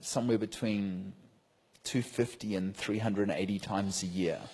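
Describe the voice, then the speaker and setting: A man with a fairly low pitch talks very slowly, leaving long, frequent pauses, his intonation fairly even. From New Zealand. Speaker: preacher. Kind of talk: sermon with live translation.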